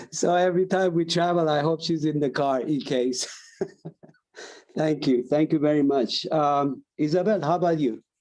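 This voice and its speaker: An unremarkable speaking voice, a man's fairly high pitch moves at a moderate pace with fairly even intonation and very even loudness. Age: 60s. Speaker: panel moderator. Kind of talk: panel moderation.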